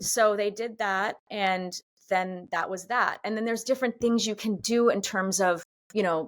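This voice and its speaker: In a very clean recording with a silent background, a woman with an American accent speaks at a fairly slow pace, with a medium pitch and ordinary pitch variation. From US Northeast, outside Boston. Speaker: pilates instructor and actor. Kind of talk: casual interview conversation. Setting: podcast recording. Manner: halting, many restarts.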